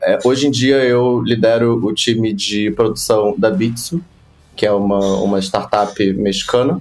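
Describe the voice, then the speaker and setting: Over noticeable background noise, a man with a fairly low voice speaks at a fairly slow pace with fairly even intonation. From Rio de Janeiro, Brazil (West Zone). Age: 20s. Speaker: advertising production professional. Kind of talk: casual interview.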